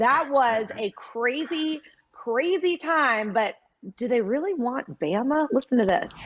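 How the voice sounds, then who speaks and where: Loud and high-pitched, a woman speaks at a fairly slow pace with very wide pitch swings. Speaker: sports TV host. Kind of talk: TV sports show hosting.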